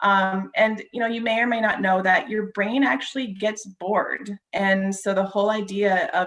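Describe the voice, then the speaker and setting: A woman at a fairly slow pace, fairly even in intonation, against noticeable background noise. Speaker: wellness presenter. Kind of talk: presentation.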